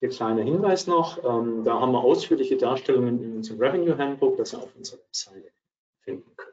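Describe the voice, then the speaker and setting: Speaking at a very fast pace, a man's voice shows big swings in loudness. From Swabia, southwestern Germany. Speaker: accounting advisor, co-presenter. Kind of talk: webinar presentation. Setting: virtual webinar.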